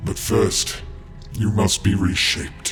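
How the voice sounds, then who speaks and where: A man performs a put-on character voice at a fairly slow pace. Clear music plays in the background. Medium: audio drama. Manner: grave, terse.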